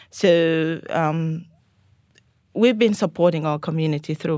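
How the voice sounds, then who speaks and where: Captured in a very clean recording with a silent background, a woman with a Sudanese accent speaks in a dark, mellow tone at a very deep, low pitch. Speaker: Salvation Army officer. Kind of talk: casual chat. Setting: studio.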